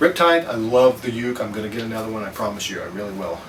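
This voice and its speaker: A man talks with lively intonation. Noticeable background noise and audible room echo surround him. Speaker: ukulele hobbyist vlogger. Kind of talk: casual product review vlog. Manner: fast; hesitant, many fillers.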